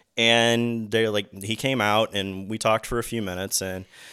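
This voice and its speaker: In a very clean recording with a silent background, a man with an American accent speaks at medium pitch in a bright, sharp tone. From US Midwest, Granite City, Illinois (St. Louis area). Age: 40s. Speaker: MMA commentator and whiskey business owner. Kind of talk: casual chat.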